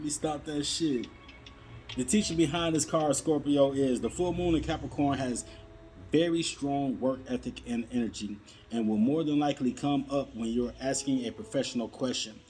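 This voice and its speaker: With a plain, everyday voice, a man speaks at a moderate pace, his pitch fairly high with ordinary variation. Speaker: tarot reader. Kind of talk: tarot reading.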